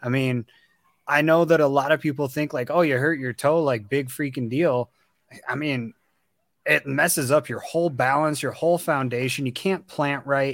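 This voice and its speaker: A man speaks in an ordinary speaking voice at a fairly high pitch and a moderate pace, recorded very cleanly against a silent background with a dry, close sound and no echo. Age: 30s. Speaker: podcast co-host.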